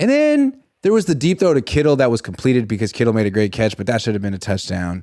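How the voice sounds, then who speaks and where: A man with a medium pitch sounds animated, his intonation lively. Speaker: sports journalist. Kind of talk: casual sports talk.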